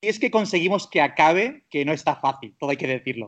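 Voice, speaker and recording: A man speaks with a high pitch. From Spain, Catalonia (Castelldefels near Barcelona). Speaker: travel blogger. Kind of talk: casual interview. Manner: halting, many fillers.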